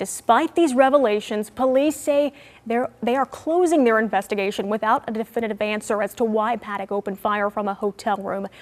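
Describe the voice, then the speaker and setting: A woman with a plain, everyday voice, fairly high pitch and a moderate pace. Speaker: news anchor. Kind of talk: TV news anchor read. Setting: studio.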